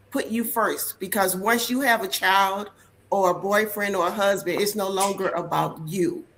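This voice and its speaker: A woman speaks at a medium pitch and a moderate pace, with ordinary pitch variation and music playing in the background. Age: 60s. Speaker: community guest, former nonprofit leader. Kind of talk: casual chat.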